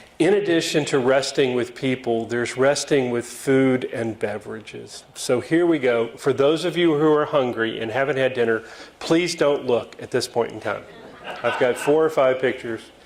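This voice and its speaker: A man with a medium-pitched voice talks at a moderate pace against noticeable background noise. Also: ordinary pitch variation. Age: 60s. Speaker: club speaker, lawyer. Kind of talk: talk to club audience with slides. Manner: casual, with fillers and false starts.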